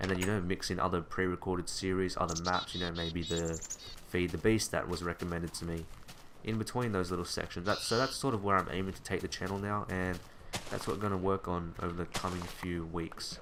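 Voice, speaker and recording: Against noticeable background noise, a man with a very deep, low voice talks at a fairly quick pace with fairly even intonation. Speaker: gaming video creator. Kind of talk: gameplay commentary. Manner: fast bursts then pauses; casual.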